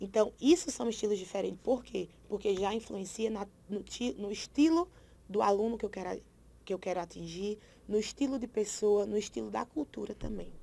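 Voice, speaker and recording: Dark and mellow in tone, a woman's medium-pitched voice carries vocal fry. She moves at a moderate pace with ordinary pitch variation. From Brazil, Paraíba. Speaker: teacher. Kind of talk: lecture.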